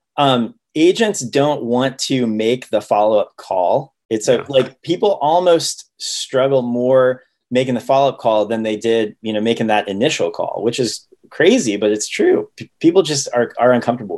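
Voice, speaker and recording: A man with an American accent and a normal speaking voice, medium pitch and ordinary pitch variation, at a moderate pace. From Ohio, US Midwest. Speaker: real estate listing agent. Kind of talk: casual interview.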